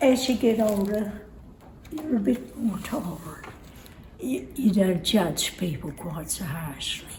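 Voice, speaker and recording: A woman speaks at a very slow pace in a medium-pitched voice. Noticeable background noise and audible room echo are present. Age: 90s. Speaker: elderly interviewee. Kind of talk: casual interview.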